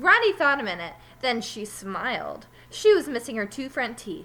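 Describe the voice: With big pitch swings and a bright, sharp tone, a woman talks at a moderate pace in a fairly high pitch.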